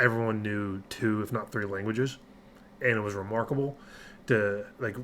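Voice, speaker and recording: His pitch fairly low, a man speaks with fairly even intonation. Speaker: metal music reaction youtuber, army soldier. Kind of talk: music reaction commentary. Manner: monotone.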